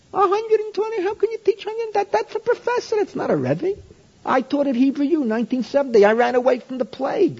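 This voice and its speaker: With an American accent, a man speaks at a moderate pace in an extremely high voice that swings very widely in pitch, over noticeable background noise. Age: old. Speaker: rabbi and Torah teacher. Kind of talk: lecture. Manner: halting.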